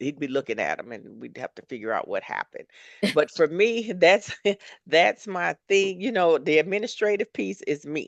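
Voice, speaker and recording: A woman with an American accent and a fairly low pitch talks at a moderate pace with very wide pitch swings and vocal fry, in a dry, close sound with no echo and a quiet background. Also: big swings in loudness. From US Northeast (Philadelphia and New York City). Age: 60s. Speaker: retired corporate professional. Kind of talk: interview conversation. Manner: halting, with many fillers and restarts.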